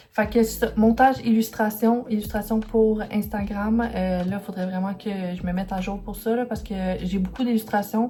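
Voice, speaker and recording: Against noticeable background noise, a woman with a Quebec accent speaks in a fairly high voice with monotone, flat intonation. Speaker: illustrator and vlogger. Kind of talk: vlog talking to camera. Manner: fast; hesitant, many fillers.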